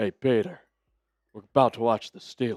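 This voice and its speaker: A man puts on a character voice at medium pitch. He keeps to a moderate pace. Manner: gruff, loud.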